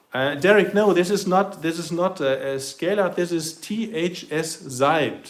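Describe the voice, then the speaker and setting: A man with a German accent speaks in a high pitch with ordinary pitch variation. His pace is fairly slow with hardly any pauses, and there is noticeable background noise. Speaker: RC model hobbyist livestreamer. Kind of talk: live stream demonstration. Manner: halting.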